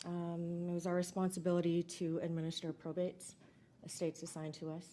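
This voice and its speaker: Soft-spoken, with a dark, mellow tone, a woman speaks fairly quickly at a fairly low pitch in a monotone, flat delivery. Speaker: trial witness, county estate coordinator. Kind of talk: witness testimony. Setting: courtroom.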